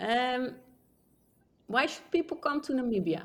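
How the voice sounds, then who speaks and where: A woman with a Dutch accent speaks in a high voice. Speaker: travel podcast co-host. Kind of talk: casual interview.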